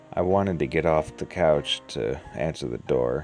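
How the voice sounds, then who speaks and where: Against music in the background, a man with a very deep, low voice speaks at a fairly slow pace. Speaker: story narrator. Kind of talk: horror story reading.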